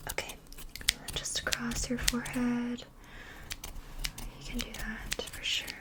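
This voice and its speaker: Against noticeable background noise, a woman whispers. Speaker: ASMR creator. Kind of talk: ASMR hairstylist roleplay. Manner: soft-spoken, chatty.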